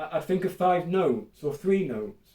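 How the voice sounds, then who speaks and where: Here a man talks at a fairly slow pace. His high pitch comes with a dark, mellow tone. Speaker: vlogger with chronic illness. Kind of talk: casual vlog monologue. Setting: at home. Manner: halting, many repetitions.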